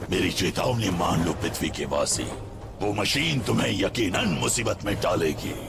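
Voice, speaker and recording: A man talks at a moderate pace in a put-on character voice with a fairly low pitch. Loud background noise runs behind him. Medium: fan dub. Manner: grave, commanding.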